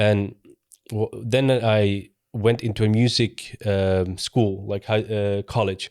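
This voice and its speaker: A man speaks at a very slow pace in a monotone, flat voice. The very clean recording is dry and close with no echo over a silent background. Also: fairly low pitch for a man. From Sweden, small town. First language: sign language. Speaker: convert telling his story. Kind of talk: testimony. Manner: halting.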